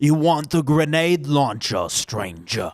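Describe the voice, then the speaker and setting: In a very clean recording with a silent background, someone uses a put-on character voice at a fairly slow pace. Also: man, fairly high pitch for a man, ordinary pitch variation. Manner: creepy, charming, with a chuckle.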